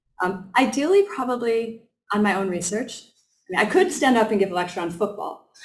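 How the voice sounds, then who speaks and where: A woman talks at a fairly quick pace with fairly high pitch and lively intonation. Her voice is somewhat breathy, and her loudness swings a lot. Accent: American. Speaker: professor. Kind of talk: lecture. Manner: hesitant, many filler ums.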